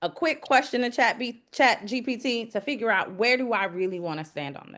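Over a quiet background, a normal speaking voice moves at a fairly quick pace with lively intonation and big swings in loudness. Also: woman, fairly high pitch for a woman. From US South, Georgia (DeKalb). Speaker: city council candidate; executive coach. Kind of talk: candidate interview.

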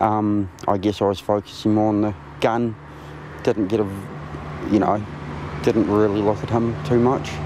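The fairly low voice of a man comes through with noticeable background noise and a dry sound with no echo. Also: moderate pace. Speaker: witness. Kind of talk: interview answer. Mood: subdued, reflective. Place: garden.

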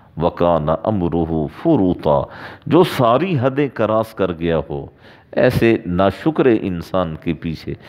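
Over a quiet background, a man with a fairly low voice talks very slowly, his pitch swinging very widely. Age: 40s. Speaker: Islamic preacher. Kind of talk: sermon. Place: home room. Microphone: headset.

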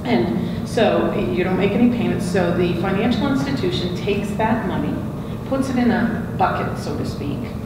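A woman's voice comes with audible room echo and loud background noise. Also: moderate pace. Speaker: student lending executive. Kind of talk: panel discussion. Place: meeting room.

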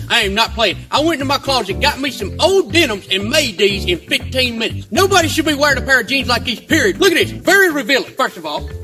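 A man talks in an animated tone with a Southern US accent. Music plays clearly in the background. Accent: Southern American. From Southern United States. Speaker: comedian. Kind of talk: comedic rant to camera. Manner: animated, indignant. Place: garden. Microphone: camera far.

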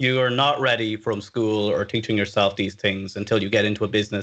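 A man with an Irish accent talks very fast in a bright, sharp tone with fairly even intonation. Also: quiet background. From Ireland, Dublin. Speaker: web developer, company CTO, freelancer. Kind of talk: interview, casual advice. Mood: relaxed, friendly. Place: home room. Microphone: studio mic.

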